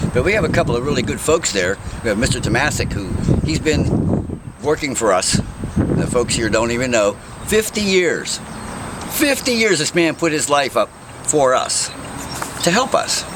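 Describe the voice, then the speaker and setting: Very wide pitch swings in an American accent, a moderate pace broken by long, frequent pauses, with noticeable background noise. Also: man, fairly high pitch for a man. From western Pennsylvania, Pittsburgh area. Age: 60s. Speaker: mayoral candidate. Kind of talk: interview. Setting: outdoors.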